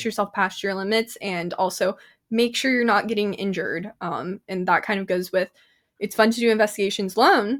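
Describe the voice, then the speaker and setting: In a very clean recording with a silent background, a woman with an ordinary speaking voice talks fairly quickly at a medium pitch. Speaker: paranormal radio show host. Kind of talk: interview answer. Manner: upbeat.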